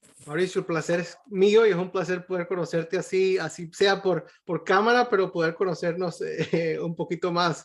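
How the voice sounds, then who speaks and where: Monotone, flat intonation at a moderate pace over a quiet background. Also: man, high pitch for a man. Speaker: pediatric cardiologist. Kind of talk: medical webinar Q&A. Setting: video call. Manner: halting, many repetitions.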